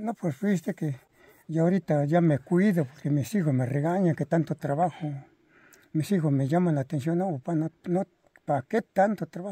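The sound is dry and close with no echo as a man speaks in a high voice with a dark, mellow tone. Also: ordinary pitch variation, moderate pace. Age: 80s+. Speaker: elderly farmer. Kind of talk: interview storytelling. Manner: halting.

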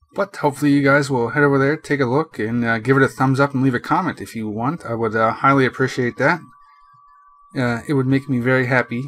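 Music plays in the background as a man talks at a very fast pace. His pitch is medium and his intonation fairly even. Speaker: gaming commentator / YouTuber. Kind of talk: casual talk to camera.

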